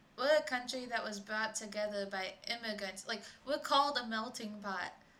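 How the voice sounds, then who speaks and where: With an American accent, a woman talks at a moderate pace in an ordinary speaking voice, fairly high in pitch with ordinary pitch variation. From Michigan. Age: young. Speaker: traveler and coffee shop worker. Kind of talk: casual chat.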